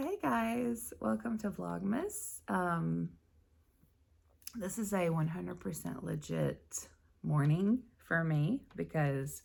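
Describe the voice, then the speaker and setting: In a put-on character voice, a woman growls out raspy words at a very deep, low pitch. Her pace is very slow. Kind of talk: casual vlog.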